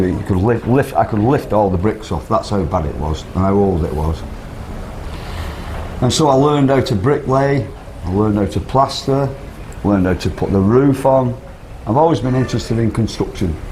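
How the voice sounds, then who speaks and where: A man with a Manchester accent speaks at a medium pitch, leaving long, frequent pauses. Background noise is noticeable. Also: lively intonation, moderate pace. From northern England, Whitefield, Manchester. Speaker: expat interviewee. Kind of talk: casual interview. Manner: halting, repeats words.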